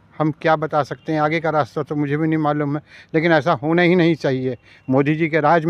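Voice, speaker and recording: A man's unremarkable speaking voice, fairly high in pitch with fairly even intonation, dry and close with no echo over a quiet background. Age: 60s. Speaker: shopkeeper. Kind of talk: street interview.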